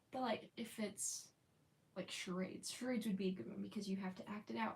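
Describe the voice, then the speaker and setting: A woman with an American accent speaks at a moderate pace and medium pitch. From United States. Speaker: live streamer. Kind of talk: casual chat. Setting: live stream.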